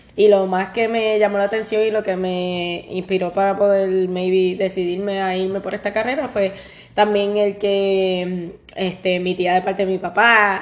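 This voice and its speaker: Her pitch is medium for a woman and her pace moderate. The intonation is flat and monotone. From Puerto Rico. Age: 30s. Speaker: podcast co-host, pastry cook. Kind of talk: casual chat.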